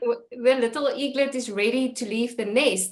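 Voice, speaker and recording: A woman speaks with a South African accent. Her pitch is fairly high. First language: Afrikaans. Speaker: podcast host. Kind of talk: interview.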